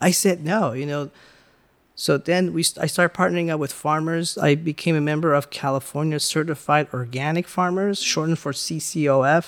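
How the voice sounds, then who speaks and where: A man with an American accent speaks in a plain, everyday voice, fairly high-pitched for a man, with fairly even intonation on a very clean recording over a silent background. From Los Angeles, Iranian-born. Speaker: business owner, food distributor. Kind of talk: interview.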